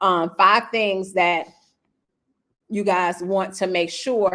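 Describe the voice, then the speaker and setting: A woman at a medium pitch, speaking at a very slow pace. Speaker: real estate coach. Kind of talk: live webinar training. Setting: livestream. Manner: animated.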